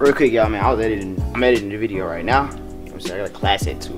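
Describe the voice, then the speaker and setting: Clear music plays in the background. The speech comes at a very fast pace. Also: man. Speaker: college student vlogger. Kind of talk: casual vlog chat. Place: hall. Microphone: phone near.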